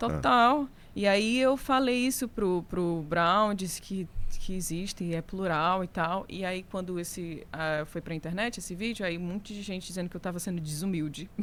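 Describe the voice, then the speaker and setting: Speaking in a Ceará accent, a woman keeps a medium pitch, ordinary pitch variation and a moderate pace. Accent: northeastern Brazilian (Ceará). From Brazil, Fortaleza, Ceará. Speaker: singer and guitarist. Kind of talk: casual podcast interview. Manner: animated.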